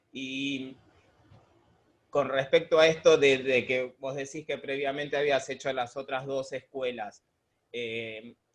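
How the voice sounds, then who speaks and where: This man talks at a very slow pace with long, frequent pauses. His medium-pitched voice, in a Rioplatense accent, has fairly even intonation. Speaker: museum conservator, interviewer. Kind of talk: interview.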